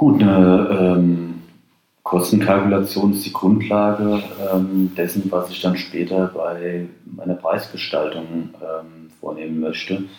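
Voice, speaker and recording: A man's very deep, low voice, very slow and monotone, with flat intonation. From Rheinhessen, Germany. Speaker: wine marketing expert and lecturer. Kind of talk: interview. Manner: hesitant with fillers.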